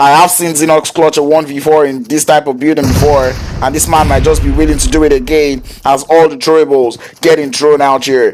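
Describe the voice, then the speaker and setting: A fairly high-pitched man with fairly even intonation, amid noticeable background noise. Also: fairly quick pace. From Nigeria. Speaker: esports caster. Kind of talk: live commentary. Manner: fast.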